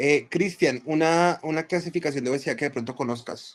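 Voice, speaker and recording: A man with an unremarkable speaking voice and ordinary pitch variation is heard in a very clean recording with a silent background. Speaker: physician teaching a class. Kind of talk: lecture.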